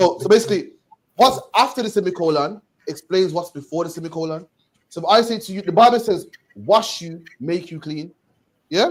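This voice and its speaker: A high-pitched man talks at a fairly quick pace, with long, frequent pauses. His loudness swings widely while his pitch variation stays ordinary. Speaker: religious teacher. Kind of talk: bible study teaching. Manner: fast.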